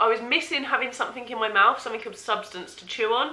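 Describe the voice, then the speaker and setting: A woman's fairly high voice moves along at a fairly quick pace. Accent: English. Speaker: vlogger. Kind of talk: casual vlog.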